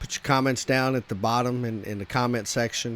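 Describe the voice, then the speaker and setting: This man talks with a Texas accent at a medium pitch. His intonation stays fairly even. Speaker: gaming content creator. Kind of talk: casual gameplay commentary. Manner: halting, many fillers and repetitions.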